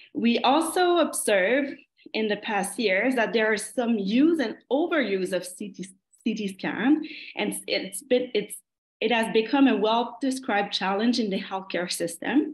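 A woman with a Quebec accent speaks at a fairly slow pace with lively intonation. Her voice is somewhat breathy, and the room echo is audible. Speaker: geriatric medicine fellow. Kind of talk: academic presentation. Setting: video call. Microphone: video call.

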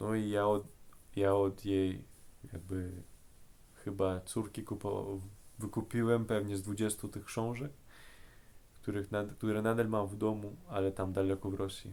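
Dark and mellow in tone, a man with a fairly low pitch speaks with fairly even intonation and long, frequent pauses. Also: moderate pace. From Russia. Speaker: language learner. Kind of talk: casual talk to camera. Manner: hesitant, searching for words.

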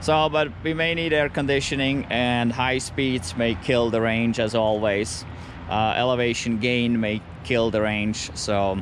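With light background noise and a dry sound with no echo, a man speaks at a fairly slow pace and with ordinary pitch variation. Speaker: EV road trip vlogger. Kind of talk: casual vlog chat. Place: street. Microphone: phone near.

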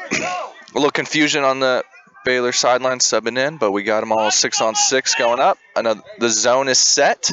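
Noticeable background noise sits behind a man speaking at a moderate pace. His loudness stays very even, with ordinary pitch variation. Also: medium pitch for a man. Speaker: lacrosse color commentator. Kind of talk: live commentary. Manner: animated.

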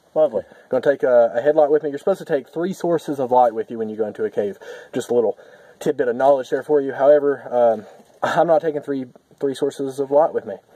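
Very fast speech from a man with ordinary pitch variation, dry with no echo against a quiet background. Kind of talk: casual vlog chat. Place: forest. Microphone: camera far.

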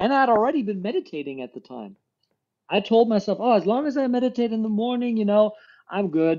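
Against a quiet background, a high-pitched man talks very fast with lively intonation and big swings in loudness. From Germany. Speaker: entrepreneurship coach. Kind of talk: casual interview chat. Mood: reflective, earnest. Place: home room. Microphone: video call.

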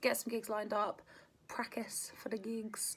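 This is a woman's voice. She speaks with a southern English accent. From Kent, England. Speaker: musician; interviewee. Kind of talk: casual interview. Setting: home during lockdown. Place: home room. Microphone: phone near.

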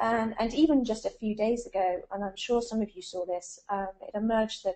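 The pitch moves in an ordinary way at a fairly quick pace. Behind the voice, the background is quiet. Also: woman. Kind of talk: lecture. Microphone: video call.

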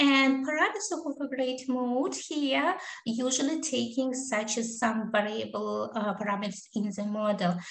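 A woman's high-pitched voice with lively intonation, a moderate pace and audible room echo. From Kazakhstan. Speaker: associate professor. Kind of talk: conference presentation. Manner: halting, many fillers.

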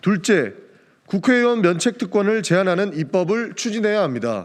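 With ordinary pitch variation and a high pitch, a man talks at a moderate pace. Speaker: first-term lawmaker. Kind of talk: press statement reading. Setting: press conference room. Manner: formal.

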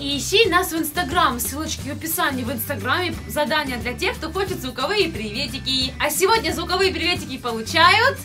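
A woman speaks at a fairly quick pace with hardly any pauses. Clear music plays in the background. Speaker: family vlogger. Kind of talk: casual vlog chat. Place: home room. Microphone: phone near.

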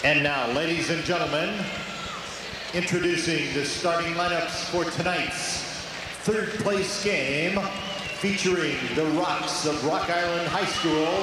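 Over noticeable background noise and strong room echo, a man talks at a fairly slow pace. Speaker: arena announcer. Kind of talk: formal lineup announcement. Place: stadium.

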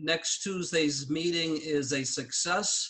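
Very slow, high-pitched man with fairly even intonation, quiet background. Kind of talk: meeting announcements. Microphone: video call.

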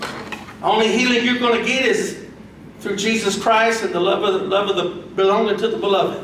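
A high-pitched man talks at a fairly quick pace in an animated, warm tone, with audible room echo and light background noise. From Brazil. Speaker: pastor. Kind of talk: sermon. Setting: church with congregation. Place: church.

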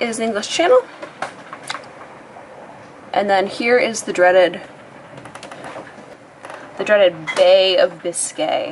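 Clear background noise carries on as a woman talks. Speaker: sailing vlogger. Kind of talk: casual vlog chat. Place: boat. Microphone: phone near.

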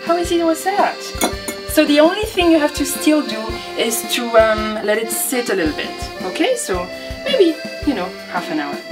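Clear music plays behind a woman with a French accent. She keeps a moderate pace with long, frequent pauses. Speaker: home cook. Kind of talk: cooking show talk to camera. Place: kitchen. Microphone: camera far.

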